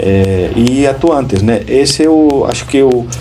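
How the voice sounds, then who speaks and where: A man with a Spanish accent and ordinary pitch variation, with audible room echo and noticeable background noise. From Spain. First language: Spanish (speaking Portuguese). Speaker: school principal. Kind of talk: interview. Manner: hesitant, many fillers.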